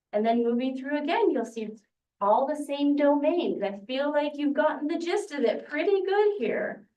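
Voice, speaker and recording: A woman speaks with audible room echo. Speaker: education specialist presenting standards. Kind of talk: presentation to a board.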